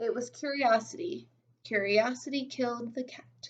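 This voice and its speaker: Using a put-on character voice, a woman speaks in a squeaky, high pitch. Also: moderate pace. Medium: read story.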